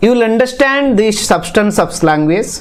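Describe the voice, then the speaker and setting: Noticeable background noise and audible room echo surround a man speaking with an Indian accent. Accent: Indian English (Odia). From Odisha, India. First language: Odia. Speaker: teacher educator. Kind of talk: lecture. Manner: halting, with frequent fillers.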